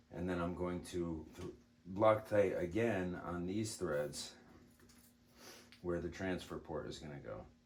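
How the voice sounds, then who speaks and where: A soft-spoken man with a very deep, low pitch, fairly slow with long, frequent pauses, in audible room echo. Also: ordinary pitch variation. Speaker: airgun hobbyist. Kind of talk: tutorial.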